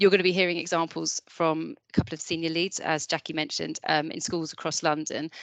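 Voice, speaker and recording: At a fairly quick pace, a woman speaks with a fairly low pitch in a dry, close sound with no echo. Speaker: mental health education lead. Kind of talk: webinar presentation. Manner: fast.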